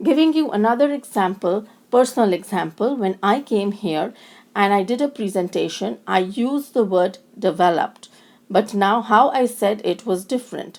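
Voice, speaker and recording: A woman with a strong Indian accent at a moderate pace. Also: medium pitch for a woman, lively intonation. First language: Indian language (not English). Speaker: lecturer in special education. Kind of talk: recorded lecture. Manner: halting, with self-corrections.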